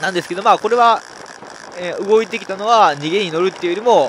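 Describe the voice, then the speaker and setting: A man talks over noticeable background noise. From Nara, Japan. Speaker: professional road cyclist. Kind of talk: race commentary over onboard video. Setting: recorded voice-over of race footage. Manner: explanatory, conversational.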